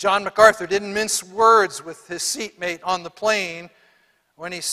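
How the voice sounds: With quiet surroundings, the clip carries a natural reading voice.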